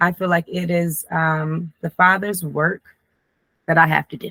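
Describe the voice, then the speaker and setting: At a moderate pace, a woman talks in a fairly low voice, captured with a dry, close sound and no echo. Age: 30s. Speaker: life coach. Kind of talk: casual monologue to camera. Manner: stumbling over words.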